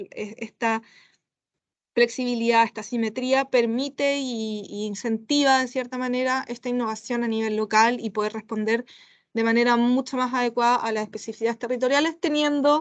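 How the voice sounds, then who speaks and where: A woman talks at a high pitch and a moderate pace. The background is quiet. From Chile. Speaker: international policy expert. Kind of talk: expert panel discussion. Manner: hesitant, many fillers.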